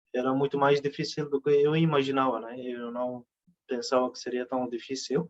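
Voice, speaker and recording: A man in a Turkish accent talks at a moderate pace with monotone, flat intonation. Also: medium pitch for a man. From Turkey. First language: Turkish (speaking Portuguese). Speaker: literary translator. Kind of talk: conference talk. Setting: conference. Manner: halting, many fillers.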